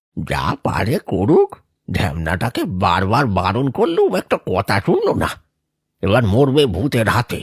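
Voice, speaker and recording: A man does a cartoonish character voice at a medium pitch and a fairly slow pace, with very wide pitch swings and a dry, close sound with no echo. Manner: gruff, scolding.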